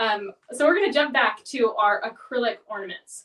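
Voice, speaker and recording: A woman is speaking. Her pitch is fairly high. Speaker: product demonstrator. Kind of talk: tutorial. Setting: live webinar. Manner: fast.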